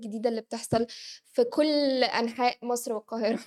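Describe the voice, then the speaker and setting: In a very clean recording with a silent background and a dry, close sound free of echo, a woman with a high pitch talks at a fairly quick pace. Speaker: news show co-host. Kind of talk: live news reading. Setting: studio, live stream.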